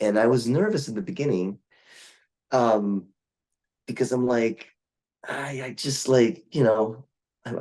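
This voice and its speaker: At a moderate pace, a man speaks with a medium pitch and a dark, mellow tone. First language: Portuguese. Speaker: voice actor. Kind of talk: interview. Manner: halting, many fillers.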